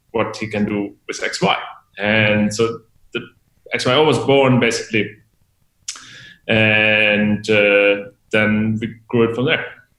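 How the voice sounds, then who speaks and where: A man's fairly low, bright and sharp voice in a German accent, very slow, with fairly even intonation and long, frequent pauses. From Germany. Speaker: tech company executive. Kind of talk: interview.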